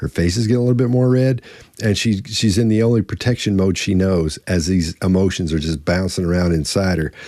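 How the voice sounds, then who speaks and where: Very deep and low, a man's voice moves at a fairly quick pace with ordinary pitch variation and very even loudness. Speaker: body language expert. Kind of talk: panel analysis discussion. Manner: fast; halting, many repeated words and fillers.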